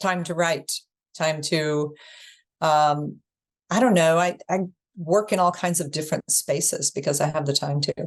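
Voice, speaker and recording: Taking long, frequent pauses, a woman with a fairly low pitch speaks at a moderate pace with fairly even intonation. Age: 60s. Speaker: teacher and author. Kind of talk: podcast interview.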